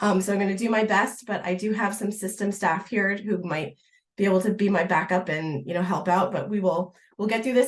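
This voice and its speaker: A woman at a very fast pace, her pitch medium. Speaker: library program coordinator. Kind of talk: information session presentation. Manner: hesitant.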